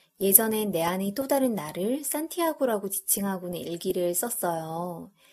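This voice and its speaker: A woman uses a normal speaking voice at a medium pitch, talking at a fairly slow pace with lively intonation. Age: 30s. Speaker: podcast host. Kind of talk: casual monologue.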